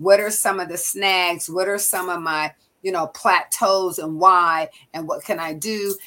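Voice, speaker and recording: A woman with an American accent and an unremarkable speaking voice talks at medium pitch and a fairly slow pace. Her intonation is fairly even, with big swings in loudness. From US Pacific Northwest, Seattle. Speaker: physician. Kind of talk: interview.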